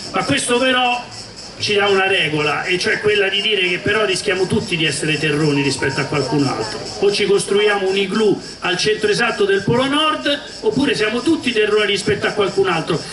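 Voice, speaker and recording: With a Roman accent, a man talks at a fairly quick pace in a high voice, his loudness very even, with audible room echo and noticeable background noise. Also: lively intonation. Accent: Roman Italian. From Rome, Italy. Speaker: former police officer and regional councillor. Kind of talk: public talk at a political festival.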